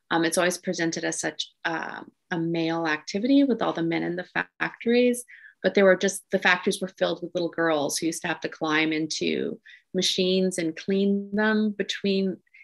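Against a quiet background, a woman with a Canadian accent speaks at a fairly quick pace. Her pitch is fairly low, with ordinary pitch variation. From Quebec, Montreal. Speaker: novelist; guest. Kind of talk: interview Q&A. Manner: halting. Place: home room. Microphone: video call.

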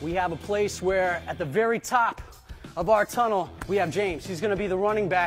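Faint music can be heard behind him. The man speaks at a moderate pace. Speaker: youth flag football coach. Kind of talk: tutorial. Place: hall.

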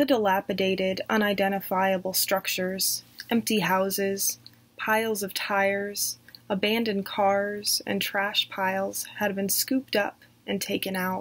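Speaking at a fairly slow pace, a woman with an American accent uses a medium pitch and fairly even intonation. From southern United States. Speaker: horror story narrator. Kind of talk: read horror story. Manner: dramatic. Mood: creepy storytelling tone. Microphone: webcam.

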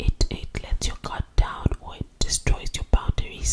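Over loud background noise, a soft-spoken woman is whispering. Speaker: video creator. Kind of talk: casual advice talk to camera. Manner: close-mic ASMR whisper, soft and crisp. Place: home room. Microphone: studio mic.

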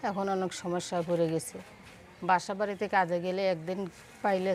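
This woman's voice sits at a medium pitch and stays monotone, with flat intonation. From Bangladesh, Jessore (Kaliganj). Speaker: single mother seeking a husband, seamstress. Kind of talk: interview.

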